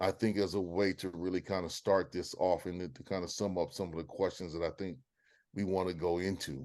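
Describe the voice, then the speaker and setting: A man with a Southern US accent speaks in a very deep, low pitch. His intonation is fairly even, over a quiet background. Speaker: webinar host, moderator. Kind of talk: panel discussion, interview questions. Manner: halting, many fillers.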